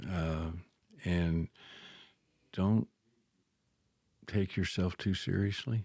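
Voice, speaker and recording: In a very clean recording with a silent background, a man with a very deep, low pitch and a dark, mellow tone speaks at a very slow pace with fairly even intonation and long, frequent pauses, the sound dry and close with no echo. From Thailand. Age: 70s. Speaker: Bible and missions professor. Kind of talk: casual chat. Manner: soft-spoken.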